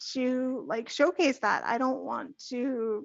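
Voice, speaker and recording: The speaker is a woman with a high pitch. Her pitch varies in an ordinary way. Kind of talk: casual livestream chat. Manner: sometimes runs out of air; rambling tangents.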